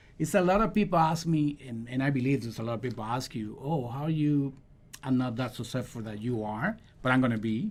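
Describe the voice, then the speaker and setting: This man has a Dominican accent and lively intonation. His pitch is medium and his pace fairly quick. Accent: non-native English, Dominican Spanish. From Dominican Republic. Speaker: realtor and podcast co-host. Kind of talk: casual podcast chat. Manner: hesitant, searching for words.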